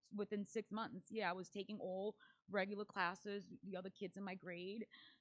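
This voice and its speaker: Speaking at a fairly quick pace with a Spanish accent, a woman has a medium pitch, monotone, flat intonation and big swings in loudness, in a dry, close sound with no echo. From Paraguay. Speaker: event MC, dancer and entrepreneur. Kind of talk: podcast interview.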